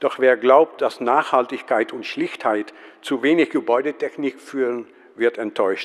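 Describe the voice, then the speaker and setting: A man with a Dutch accent at a fairly slow pace. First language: Dutch (speaking German). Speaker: museum professional, conference speaker. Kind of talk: conference talk read from script. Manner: reading aloud, hesitant with fillers.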